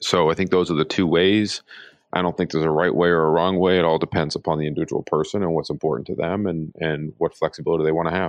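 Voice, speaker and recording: A man with an American accent talks at a very fast pace, his pitch very deep and low. His intonation stays fairly even, and his loudness is very even. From Pittsburgh, US. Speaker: live entertainment executive. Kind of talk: interview.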